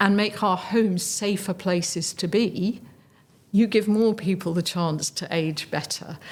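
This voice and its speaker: A woman of medium pitch with an English accent. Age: 60s. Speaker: charity chief executive. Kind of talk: interview.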